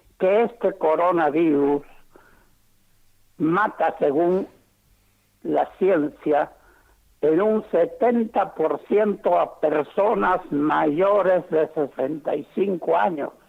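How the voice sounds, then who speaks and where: A man speaks at a very slow pace with long, frequent pauses. His voice is high in pitch with ordinary variation, and his loudness stays very even. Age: 80s+. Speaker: retired doctor. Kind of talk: phone interview.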